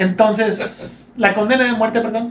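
This man has a high-pitched voice and speaks with a Mexican accent. Room echo is audible, and there is noticeable background noise. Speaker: podcast co-host. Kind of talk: casual chat.

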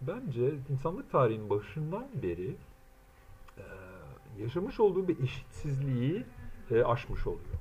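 A man speaks with a fairly high pitch, very wide pitch swings and some vocal fry, at a fairly slow pace with long, frequent pauses and audible room echo. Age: 40s. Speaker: translator and self-styled theorist. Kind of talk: solo monologue lecture. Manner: halting, many filler sounds.

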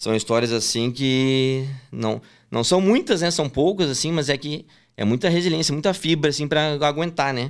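A man's ordinary speaking voice at a fairly high pitch, with ordinary pitch variation and a moderate pace. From southern Brazil, Porto Alegre. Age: 20s. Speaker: sports betting tipster. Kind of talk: casual interview.

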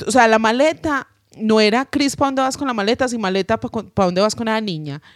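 The recording is very clean, with a silent background and a dry, close sound free of echo. A woman with an unremarkable speaking voice talks at a fairly quick pace with lively intonation. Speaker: podcast co-host, singer. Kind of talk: casual chat.

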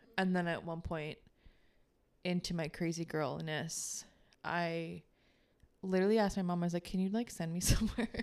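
Pausing long and often, a woman with a fairly low pitch speaks at a moderate pace in fairly even intonation. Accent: American. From Baltimore suburbs, Maryland. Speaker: podcast co-host, wellness healer. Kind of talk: casual chat.

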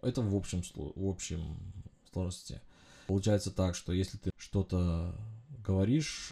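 On a very clean recording with a silent background, a man speaks in a fairly low, somewhat breathy voice with a dark, mellow tone. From Uzbekistan, then Germany as a teen. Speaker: podcast host, engineering consultant. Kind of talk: solo monologue podcast. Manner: hesitant, frequent filler sounds.

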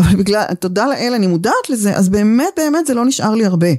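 The woman's dark, mellow voice sits at a fairly high pitch, with lively intonation and a dry, close sound with no echo. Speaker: communication teacher. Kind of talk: interview conversation.

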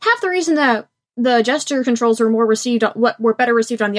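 Her voice is an ordinary speaking voice, with fairly high pitch and ordinary pitch variation. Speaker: podcast co-host. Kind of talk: casual chat. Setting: video call.

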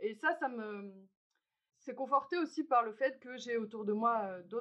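In an ordinary speaking voice, a woman talks at a fairly slow pace, her fairly high pitch moving with lively intonation. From Algeria. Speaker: podcast host. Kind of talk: structured dialogue.

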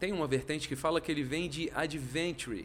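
A man speaks with vocal fry. His pitch variation is ordinary. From Brasília, Brazil. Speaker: economist and venture capital investor. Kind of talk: casual interview chat.

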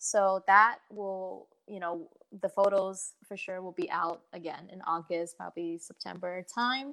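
At a fairly slow pace, a woman with an American accent speaks at medium pitch in a bright, sharp tone, with ordinary pitch variation and big swings in loudness. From southern China, raised partly in California. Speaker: singer-songwriter and fashion consultant. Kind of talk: casual interview.

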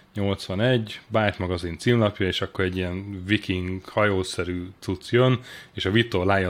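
Against noticeable background noise, a man with a very deep, low pitch speaks with ordinary pitch variation. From Hungary, Sopron. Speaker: journalist and deputy editor-in-chief. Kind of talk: casual interview.

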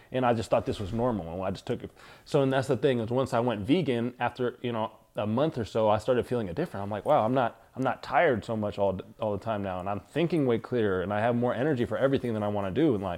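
This man rushes along at a very fast pace, his medium pitch showing ordinary variation. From Northern California (Fremont, Sacramento). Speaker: entrepreneur. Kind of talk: casual chat.

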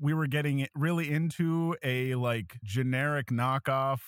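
This man has a plain, everyday voice at a medium pitch with lively intonation. The sound is dry and close, with no echo. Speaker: YouTube tabletop RPG educator. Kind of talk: casual chat. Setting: video call.

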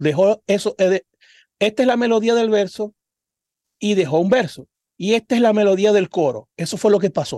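A man with a Zulian Venezuelan accent speaks at a high pitch. His pace is very slow. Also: dry, close sound with no echo. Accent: Zulian Venezuelan Spanish with voseo. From Venezuela, Cabimas (Zulia). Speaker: singer and podcast co-host. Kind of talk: casual chat.

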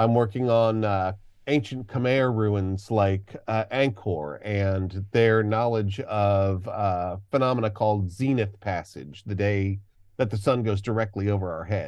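This man has an unremarkable speaking voice, fairly low in pitch, with ordinary pitch variation and a fairly slow pace. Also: quiet background. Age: 50s. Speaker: archaeologist and educator. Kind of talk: interview. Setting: remote call.

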